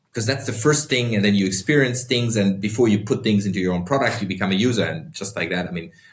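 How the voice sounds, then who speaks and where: Speaking at a very fast pace with hardly any pauses, a man with a German accent has a fairly low, somewhat breathy voice and ordinary pitch variation. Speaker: entrepreneur and investor. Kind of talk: podcast interview.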